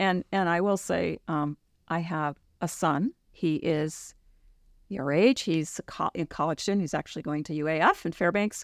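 With a normal speaking voice and a fairly low pitch, a woman talks at a moderate pace in a dry, close sound with no echo on a very clean recording with a silent background. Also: ordinary pitch variation. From New York City suburbs. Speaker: physician assistant. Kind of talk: interview.

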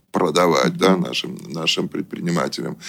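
This man speaks with a very deep, low pitch. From Russia, moved around the Soviet Union as a military child. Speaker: business consultant and company director. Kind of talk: radio interview.

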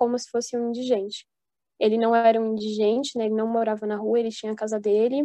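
A woman's fairly high voice, dark and mellow in tone, monotone and flat, with a dry, close sound and no echo. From Brazil, São Paulo. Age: 20s. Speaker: engineering student. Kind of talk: casual chat.

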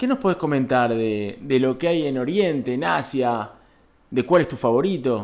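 A man's medium pitch in an ordinary speaking voice, with lively intonation at a moderate pace. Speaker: podcast co-host. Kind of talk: interview.

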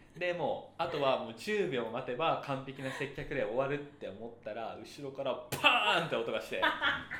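A man speaks with audible room echo. Noticeable background noise is also present. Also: moderate pace, hardly any pauses. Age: 30s. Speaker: podcast co-host. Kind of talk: casual chat.

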